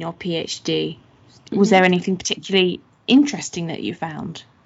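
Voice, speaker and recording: At a moderate pace, a woman with a medium pitch and a plain, everyday voice speaks with ordinary pitch variation. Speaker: podcast host and researcher. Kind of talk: podcast interview.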